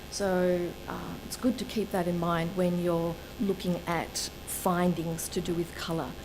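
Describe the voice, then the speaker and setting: A woman talks at a fairly slow pace and a fairly low pitch, with fairly even intonation. Audible room echo and noticeable background noise come through. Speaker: colour researcher and presenter. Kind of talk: lecture. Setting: seminar with live audience.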